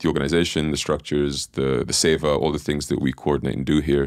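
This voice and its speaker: Over a quiet background, a man speaks in a very deep, low, monotone voice with flat intonation and a dry sound with no echo. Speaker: podcast host. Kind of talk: interview introduction. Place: studio. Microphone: studio mic.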